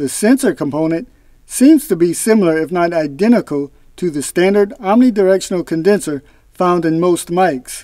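Delivered at a moderate pace, the speech sounds dry with no echo over a quiet background. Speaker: product reviewer. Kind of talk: product review narration. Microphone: lapel.

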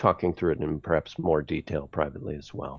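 The recording of a man with an American accent is dry, with no echo, over a quiet background. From United States. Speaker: space policy expert; remote speaker. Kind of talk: online conference talk. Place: home room. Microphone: headset.

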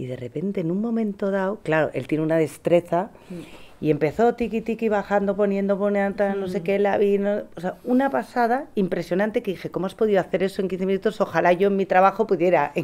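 At a fairly quick pace, a woman speaks in a dark, mellow tone with ordinary pitch variation. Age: 40s. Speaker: parent; trend analyst. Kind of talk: panel discussion. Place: meeting room.

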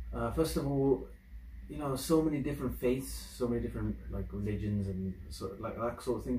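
A man speaks in a somewhat breathy voice, with audible room echo and light background noise. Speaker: reaction video creator. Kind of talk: casual vlog chat. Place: home room. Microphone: camera far.

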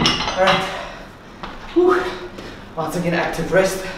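A man talks at a moderate pace in a room with audible echo and loud background noise. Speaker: fitness instructor. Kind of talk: workout instruction. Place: empty room. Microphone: camera far.

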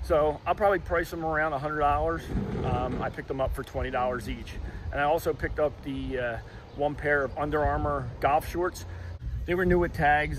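The speaker is a man talking at a moderate pace. The sound is dry with no echo, and there is light background noise. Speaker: thrift reseller vlogger. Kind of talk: casual vlog chat. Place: street. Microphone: phone near.

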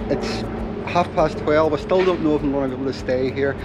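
Noticeable background noise fills the recording. Through it, a man speaks with fairly even intonation. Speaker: motorhome travel vlogger. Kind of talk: casual vlog chat. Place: street. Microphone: phone near.

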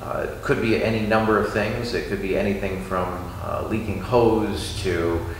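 Speech comes at a fairly slow pace with audible room echo. Light background noise is present. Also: man. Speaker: car hobbyist host. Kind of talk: tutorial. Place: garage. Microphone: camera far.

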